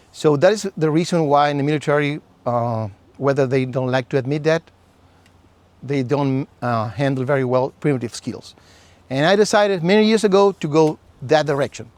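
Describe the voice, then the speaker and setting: Recorded with a dry, close sound with no echo, a man in a Chilean accent speaks at a moderate pace, fairly high in pitch, with lively intonation. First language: Spanish. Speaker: survival instructor. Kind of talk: lecture.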